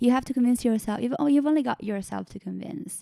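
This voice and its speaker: A woman with an Italian accent speaks in a dark, mellow tone with ordinary pitch variation, the sound dry and close with no echo. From northern Italy. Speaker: singer-songwriter. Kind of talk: interview conversation.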